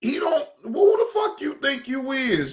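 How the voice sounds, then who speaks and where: This is a man's voice. He talks at a very slow pace. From Cleveland, Ohio. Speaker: streamer and commentator. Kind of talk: casual live stream commentary. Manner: animated, repetitive.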